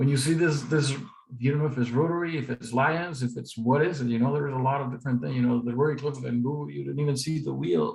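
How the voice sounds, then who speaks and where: At a very fast pace, a man speaks in a somewhat breathy voice of medium pitch with ordinary pitch variation. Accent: Spanish. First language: Spanish. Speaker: district public image volunteer. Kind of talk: presentation.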